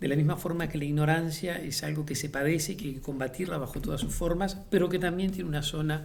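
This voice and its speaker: The man's voice sits at a fairly high pitch with ordinary pitch variation. An audible echo from the room is present. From Uruguay. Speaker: playwright and theatre director. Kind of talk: interview. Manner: hesitant, many fillers and repetitions; reflective.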